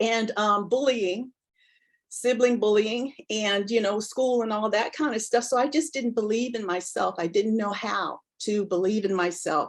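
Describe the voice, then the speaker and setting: This woman has a normal speaking voice, fairly high in pitch with ordinary pitch variation. Her pace is fairly slow. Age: 60s. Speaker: counselor and executive coach. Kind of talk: interview testimony.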